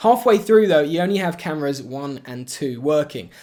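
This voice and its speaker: The speaker has an English accent, lively intonation and a moderate pace. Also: man. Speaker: YouTuber and video editor. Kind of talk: casual vlog narration.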